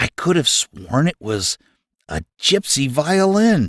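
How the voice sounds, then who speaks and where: Putting on a character voice, a man speaks fairly slowly at a fairly high pitch with very wide pitch swings, on a very clean recording with a silent background. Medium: read story. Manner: dramatic storyteller.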